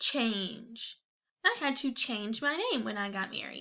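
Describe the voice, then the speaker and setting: A woman speaks at a very slow pace. Her fairly high voice has lively intonation. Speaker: second grade teacher. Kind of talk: spelling test dictation for students. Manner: clear, spelling out letters.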